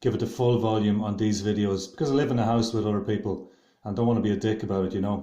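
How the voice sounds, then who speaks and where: A man with an Irish accent speaks at a very fast pace, his fairly low voice dark and mellow in tone. His intonation stays fairly even, and audible room echo surrounds him. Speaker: video blogger. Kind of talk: opinion monologue. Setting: at home, house shared with others. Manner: loud.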